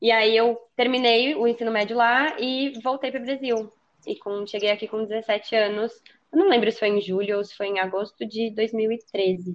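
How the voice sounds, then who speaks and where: Her ordinary speaking voice sits at a fairly high pitch. The woman keeps a moderate pace and fairly even intonation. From São Paulo state, Brazil (São Paulo city and Taubaté). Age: 20s. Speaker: podcast guest. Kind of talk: casual chat.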